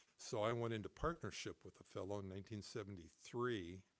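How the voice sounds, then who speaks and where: A man talks at a moderate pace with a Pacific Northwest accent. His pitch is fairly low and varies in an ordinary way. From Seattle, Washington. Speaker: musician, music store owner. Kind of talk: interview answer.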